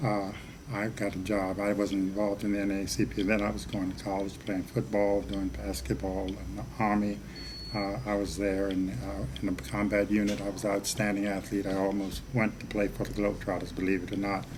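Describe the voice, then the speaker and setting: A man with an American accent talks at a fairly quick pace, fairly low in pitch with ordinary pitch variation. There is noticeable background noise and audible room echo. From Baltimore, US. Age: 80s+. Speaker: civil rights leader, former state treasurer. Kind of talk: interview.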